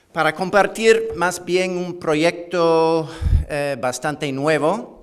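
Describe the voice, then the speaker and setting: Very slow speech from a man amid noticeable background noise. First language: English (speaking Spanish). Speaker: history professor. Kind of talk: conference lecture. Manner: halting, with many fillers and repetitions.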